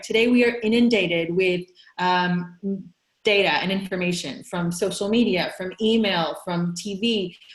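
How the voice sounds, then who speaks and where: A woman with a medium-pitched, somewhat breathy voice speaks with ordinary pitch variation. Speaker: business consultant, webinar presenter. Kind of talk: webinar presentation. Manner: fast.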